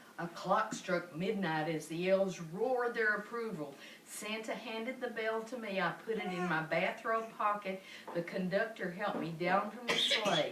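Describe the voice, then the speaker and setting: A woman's moderately paced speech, with ordinary pitch variation, sits over noticeable background noise. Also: medium pitch for a woman. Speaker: grandmother reading to great-grandchildren. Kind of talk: children's story read-aloud.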